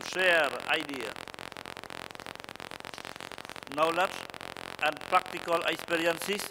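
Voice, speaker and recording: A man's high-pitched, monotone voice with flat intonation, very slow delivery, and noticeable background noise. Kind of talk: formal opening speech. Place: hall. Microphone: podium.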